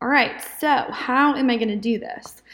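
In an ordinary speaking voice, a woman talks with lively intonation at a fairly high pitch. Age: 20s. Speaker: podcast host. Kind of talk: devotional podcast monologue. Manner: casual.

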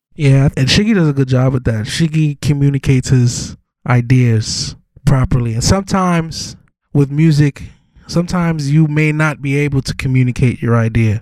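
A man with a New York accent and a fairly high pitch. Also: ordinary pitch variation, moderate pace. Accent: New York (Brooklyn) hip-hop speech. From New York City, Brooklyn. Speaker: rapper. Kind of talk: casual interview.

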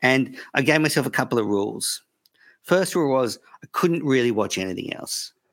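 Captured in a very clean recording with a silent background, a man with an unremarkable speaking voice talks with lively intonation. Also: medium pitch for a man, moderate pace. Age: 40s. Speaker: cricket podcaster. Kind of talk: casual interview chat.

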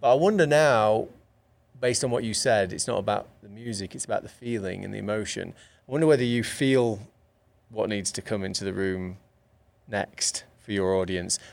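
A man with a London accent speaks at a moderate pace in a fairly low pitch. His pitch varies normally, and the recording is very clean with a silent background. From England. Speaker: podcast co-host. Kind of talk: casual interview.

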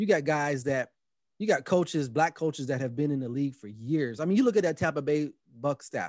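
With an American accent, a man talks at a fairly quick pace in an unremarkable speaking voice, pitched fairly high with lively intonation over a quiet background. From Los Angeles, US West Coast. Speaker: podcast host and football coach. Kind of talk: casual chat.

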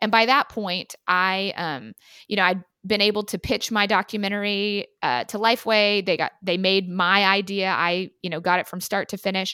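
On a very clean recording with a silent background and a dry, close sound with no echo, a woman with a bright, sharp tone speaks at medium pitch and a moderate pace with fairly even intonation. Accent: American. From Texas, Austin. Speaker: realtor. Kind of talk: interview.

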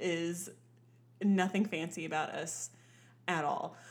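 The pace is fairly slow. It is a woman's voice. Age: 30s. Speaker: podcast guest, host's sister. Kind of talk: casual chat. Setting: studio, shared single mic.

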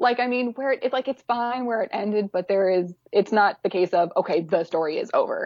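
A woman with a plain, everyday voice speaks at a fairly quick pace, her medium pitch showing ordinary pitch variation. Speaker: fan video editor and fanfic writer. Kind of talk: casual chat.

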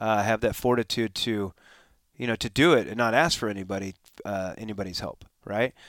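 Recorded very cleanly with a silent background and a dry, close sound with no echo, the speaker talks at a fairly quick pace with a Californian accent and fairly even intonation. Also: man. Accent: Californian American English. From Southern California (Escondido). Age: 40s. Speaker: former pro motocross racer and riding coach. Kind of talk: interview, casual conversation. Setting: recorded at a conference venue.

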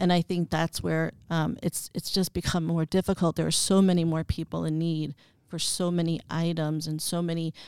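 A woman with a plain, everyday voice and an American accent talks at a moderate pace in a fairly low pitch. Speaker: nonprofit president. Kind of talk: casual interview.

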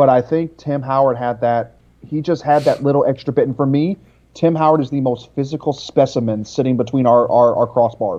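A man's unremarkable speaking voice, medium in pitch, with a fairly quick pace and fairly even intonation. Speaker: soccer analyst. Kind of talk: casual chat.

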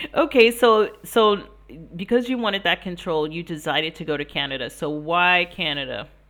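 With an American accent, this is an unremarkable speaking voice with lively intonation and a moderate pace. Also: woman, fairly low pitch for a woman. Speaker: podcast host, life and business coach. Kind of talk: interview podcast.

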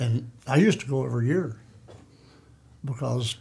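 With an American accent, a man speaks at a medium pitch in a dark, mellow, somewhat breathy tone. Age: 80s+. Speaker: veteran bow hunter. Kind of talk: casual interview chat. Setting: studio.

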